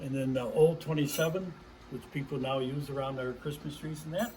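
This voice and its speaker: A man with an American accent, fairly high pitch and moderate pace, in audible room echo. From US Midwest, Chicago. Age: 80s+. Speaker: hobbyist model railroader. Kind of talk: casual guided tour narration. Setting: home garage. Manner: animated.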